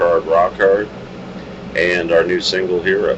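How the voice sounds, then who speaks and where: Over noticeable background noise, a man's very deep, low voice holds a monotone, flat intonation. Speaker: rock singer and bandleader. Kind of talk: casual interview. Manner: loud.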